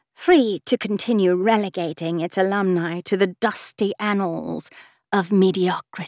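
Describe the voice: In plain reading aloud, the intonation stays fairly even over a quiet background.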